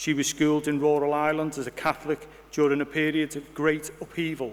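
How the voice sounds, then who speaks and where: Talking at a fairly quick pace, a man with a fairly high pitch speaks in a Liverpool accent. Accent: Liverpool (Scouse). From Liverpool, Bootle. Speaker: university vice-chancellor. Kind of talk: formal inauguration speech. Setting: hall with audience.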